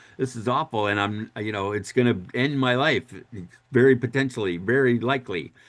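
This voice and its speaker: A man with an American accent speaks at a fairly quick pace, his pitch medium and its variation ordinary. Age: 60s. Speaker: emotional education speaker. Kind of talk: workshop talk. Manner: animated.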